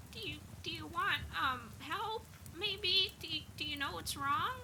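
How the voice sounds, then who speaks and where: An extremely high, squeaky put-on character voice from a woman, fairly slow, over clear background noise. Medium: actual play. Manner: hesitant, stammering.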